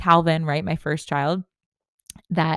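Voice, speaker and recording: In a plain, everyday voice, a woman speaks at a fairly low pitch and a moderate pace with fairly even intonation, the recording very clean with a silent background and a dry, close sound with no echo. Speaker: podcast host, business coach. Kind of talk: podcast monologue.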